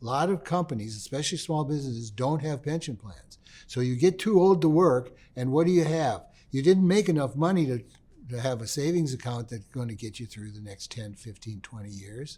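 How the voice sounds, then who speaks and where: A man's medium-pitched, somewhat breathy voice with an American accent, lively intonation, big swings in loudness and a fairly quick pace. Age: 70s. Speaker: retired history teacher. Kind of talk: lecture. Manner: casual, conversational.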